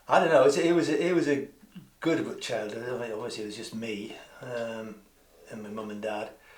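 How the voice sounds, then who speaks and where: A man speaks in a Newcastle accent at a medium pitch and a moderate pace. Audible room echo surrounds his voice. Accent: Newcastle (Geordie), still noticeable. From northern England, Newcastle. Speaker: community theatre member. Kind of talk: casual interview. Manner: halting, many restarts.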